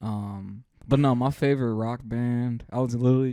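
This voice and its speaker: A man mumbles at a medium pitch with fairly even intonation. His tone is dark and mellow. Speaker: podcast co-host. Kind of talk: casual chat. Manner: mumbling.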